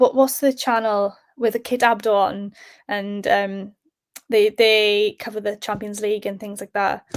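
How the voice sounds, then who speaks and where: A woman's fairly high voice in a South Welsh accent, fairly slow, with a dry, close sound and no echo. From South Wales. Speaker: sports presenter. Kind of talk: podcast interview. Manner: hesitant, many fillers.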